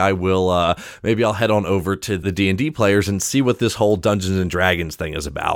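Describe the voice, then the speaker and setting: The man rattles along at a very fast pace. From US, Maryland (Salisbury). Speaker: game designer. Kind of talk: interview. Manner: stammering with repeated words.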